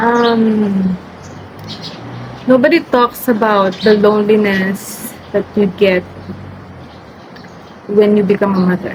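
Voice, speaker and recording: Over noticeable background noise, a woman with a medium pitch speaks at a very slow pace, leaving long, frequent pauses, her loudness very even and her intonation fairly even. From Philippines. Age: 20s. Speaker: mother of two. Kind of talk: casual talk to camera.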